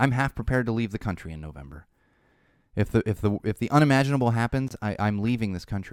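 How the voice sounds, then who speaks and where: On a very clean recording with a silent background, a man at a medium pitch talks at a very fast pace with lively intonation. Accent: American. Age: 30s. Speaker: podcast host. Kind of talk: casual chat. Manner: loud; halting.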